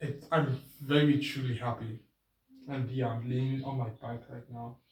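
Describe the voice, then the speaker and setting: A man mumbles at medium pitch with fairly even intonation. His voice is somewhat breathy. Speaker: vlogger. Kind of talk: casual vlog monologue. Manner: pitch goes up and down; mumbling.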